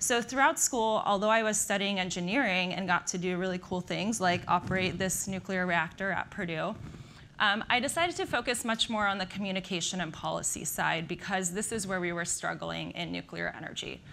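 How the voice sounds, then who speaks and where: Speaking fairly quickly with an American accent, a woman has a bright, sharp tone and some vocal fry. Her pitch varies in an ordinary way over light background noise. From Slovakia, raised in the US. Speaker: nuclear energy industry professional. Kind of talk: conference talk. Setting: stage with audience. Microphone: lapel.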